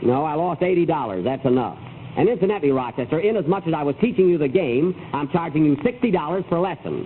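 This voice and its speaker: A man talking at a very fast pace, fairly high-pitched, with lively intonation and noticeable background noise. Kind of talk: old-time radio comedy.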